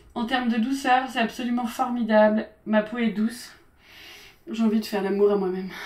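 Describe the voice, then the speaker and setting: Fairly high female speech against noticeable background noise. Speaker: beauty and lifestyle youtuber. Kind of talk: casual product review vlog. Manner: fast; animated.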